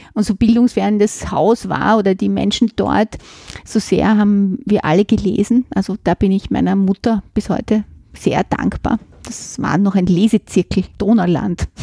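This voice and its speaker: A woman's somewhat breathy voice with a dark, mellow tone, fairly even intonation and a fairly slow pace, dry and close with no echo. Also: medium pitch for a woman. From Vienna, Simmering. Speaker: literature professor. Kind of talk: interview.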